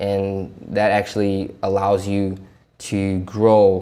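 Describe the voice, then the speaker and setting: A man's dark, mellow tone with a non-native accent. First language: not English. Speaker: self-help vlogger. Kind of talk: casual vlog commentary. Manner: stuttering, halting; casual, talkative.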